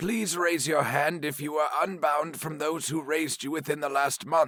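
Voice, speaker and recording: Putting on a character voice, a man speaks at a fairly high pitch with fairly even intonation. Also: moderate pace. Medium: read story. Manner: dry, stern, lecturing.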